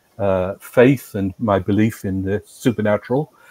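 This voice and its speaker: Speaking in an English accent, a man delivers his words at a fairly slow pace. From England. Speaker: former monk and priest. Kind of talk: interview.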